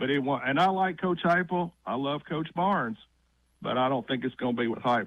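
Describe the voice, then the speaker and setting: A man with an unremarkable speaking voice talks fairly quickly at a fairly high pitch, with ordinary pitch variation. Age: 60s. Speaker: radio caller. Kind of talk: sports talk radio call.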